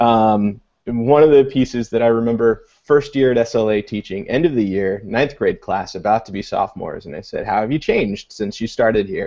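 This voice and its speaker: A man speaks at a moderate pace with an American accent, medium in pitch with ordinary variation. His is a plain, everyday voice with hardly any pauses. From US Midwest, Illinois. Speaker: education technology coordinator and author. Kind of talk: video call panel discussion. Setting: video call.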